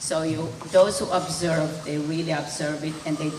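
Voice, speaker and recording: Over noticeable background noise and audible room echo, a woman with a very deep, low voice speaks at a moderate pace. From Hungary, later Israel. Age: 80s+. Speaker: Holocaust survivor. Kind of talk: testimony. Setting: school event with student audience.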